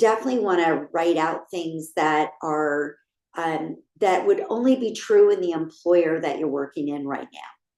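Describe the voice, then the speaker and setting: A woman speaks in a fairly low pitch with a plain, everyday voice. Her pace is moderate. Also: ordinary pitch variation. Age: 60s. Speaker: career coach. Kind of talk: online workshop presentation.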